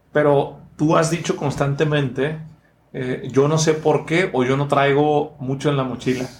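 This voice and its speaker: Speaking at a fairly slow pace, a man with a fairly high pitch sounds somewhat breathy, his intonation fairly even. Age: 30s. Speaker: podcast host and speaker. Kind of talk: casual interview. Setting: studio.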